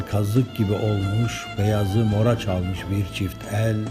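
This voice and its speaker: Music plays in the background as a man speaks at a very slow pace. His intonation stays fairly even. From Denizli, Turkey. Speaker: poet. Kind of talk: poetry reading.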